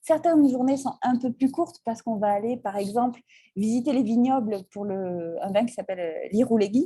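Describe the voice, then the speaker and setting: A woman talks at a fairly quick pace with lively intonation. Her voice is somewhat breathy, with a dark, mellow tone. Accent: Basque. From French Basque Country. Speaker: travel trip presenter. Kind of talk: presentation talk. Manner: hesitant, many fillers.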